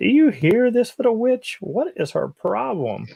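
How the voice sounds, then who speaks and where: A man's put-on character voice, extremely high-pitched, at a moderate pace. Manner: sneering.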